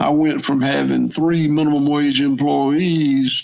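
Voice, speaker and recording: This man talks at a moderate pace. He has a Southern US accent. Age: 60s. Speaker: farmer. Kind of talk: interview. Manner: halting, repetitive.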